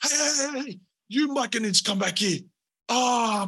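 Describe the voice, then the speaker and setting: Someone shouts in a put-on character voice, fairly high in pitch and at a fairly slow pace. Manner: shouting commands, agitated.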